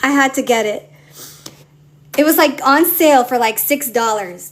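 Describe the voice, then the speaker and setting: Over noticeable background noise, a woman speaks in an animated tone at a high pitch, using ordinary pitch variation and a moderate pace. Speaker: digital planner designer and live streamer. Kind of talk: casual live stream tutorial. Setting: live stream.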